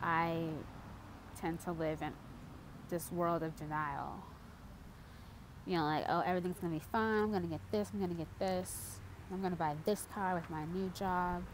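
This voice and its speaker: Speaking at a moderate pace with long, frequent pauses, a woman with a fairly low pitch keeps her intonation fairly even amid audible room echo. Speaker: vlogger. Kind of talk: personal confession vlog. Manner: halting.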